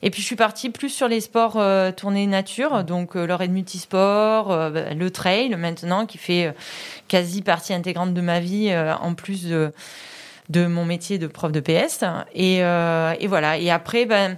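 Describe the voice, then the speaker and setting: At a very slow pace, a woman talks at a medium pitch with ordinary pitch variation, in a very clean recording with a silent background. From Vaucluse, Provence. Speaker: PE teacher. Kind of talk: interview.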